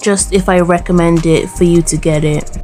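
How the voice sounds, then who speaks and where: Through noticeable background noise, a woman with a British accent talks at a moderate pace and a fairly low pitch. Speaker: nail hobbyist. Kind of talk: casual talk to camera.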